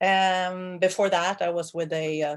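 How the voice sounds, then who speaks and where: A woman speaks with a Swedish accent. Her intonation stays fairly even. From Sweden. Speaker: water planning manager. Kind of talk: meeting self-introduction. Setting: video call.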